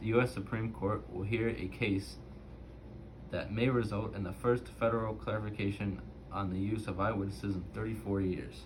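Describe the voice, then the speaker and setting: A man with a fairly low pitch and vocal fry speaks with lively intonation. Room echo is audible. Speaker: student doing a reading assignment. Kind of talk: reading aloud. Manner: halting, self-correcting.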